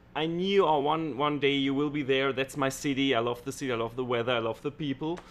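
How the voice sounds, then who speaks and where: A man with a German accent at a very fast pace, fairly high in pitch, with hardly any pauses and fairly even intonation. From Germany. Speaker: stage illusionist. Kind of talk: casual chat. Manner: halting.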